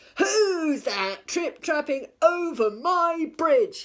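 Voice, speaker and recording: A put-on character voice bellows at an extremely high pitch, moving at a very slow pace with very wide pitch swings. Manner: bellowing, gruff.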